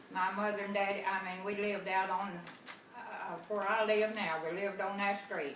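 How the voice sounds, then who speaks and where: A woman with a Southern US accent is heard over noticeable background noise and audible room echo. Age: 90s. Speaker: grandmother. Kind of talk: family interview.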